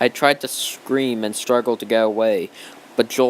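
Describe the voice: Words read aloud in a plain manner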